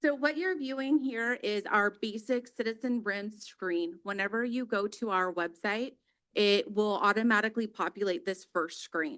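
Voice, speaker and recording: Lively intonation runs through this moderately paced speech. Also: woman, fairly high pitch for a woman. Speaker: police dispatch supervisor. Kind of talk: public presentation at council meeting. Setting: city council chamber. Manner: loud.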